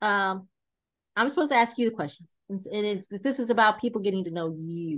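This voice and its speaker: A woman speaks at medium pitch and a fairly quick pace, with lively intonation, in a normal speaking voice. The background is quiet. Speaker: podcast host. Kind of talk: interview.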